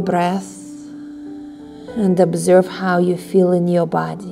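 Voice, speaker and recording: A woman speaks at a very slow pace. Faint music plays in the background. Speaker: yoga instructor. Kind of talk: guided relaxation instruction. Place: home room.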